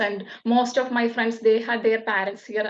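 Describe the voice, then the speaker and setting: In a Keralan accent, a woman speaks at a fairly high pitch with fairly even intonation. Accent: Indian (Malayali) English. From Kerala, India. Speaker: nurse. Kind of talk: interview answer.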